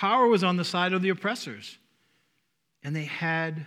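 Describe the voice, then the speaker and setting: In a very clean recording with a silent background, a man with a Northeastern US accent speaks in a high pitch with lively intonation. His tone is bright and sharp, broken by long, frequent pauses. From US Northeast. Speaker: pastor or church speaker. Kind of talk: sermon. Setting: church. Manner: informal, joking.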